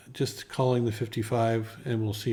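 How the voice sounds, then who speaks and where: A man speaks in a monotone, flat intonation with a somewhat breathy quality. Audible room echo surrounds his voice. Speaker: poker vlogger. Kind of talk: vlog narration. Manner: slow, hesitant with fillers.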